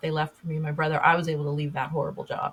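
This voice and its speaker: A woman with an American accent sounds somewhat breathy as she talks. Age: 60s. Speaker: podcast host and public speaker. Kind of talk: interview conversation. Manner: halting, many fillers and restarts.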